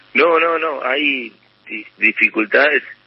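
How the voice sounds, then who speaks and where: The speaker is male. His delivery is extremely slow. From Argentina, Chaco province. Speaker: business association president. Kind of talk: radio interview. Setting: phone call.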